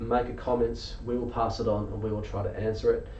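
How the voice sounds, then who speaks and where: The speaker talks at a fairly quick pace with an Australian accent, and the room echo is audible. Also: man. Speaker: injured workers advocate. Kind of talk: live stream members meeting.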